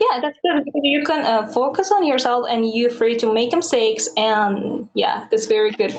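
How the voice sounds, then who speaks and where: A high-pitched woman speaks at a moderate pace with lively intonation, hardly any pauses and very even loudness. Noticeable background noise is present. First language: not English. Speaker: English learner. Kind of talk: casual chat. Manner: halting.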